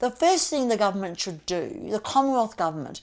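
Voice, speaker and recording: With an Australian accent, a woman speaks at a fairly high pitch. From Australia, Melbourne. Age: 60s. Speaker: political candidate. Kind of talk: campaign talk to camera.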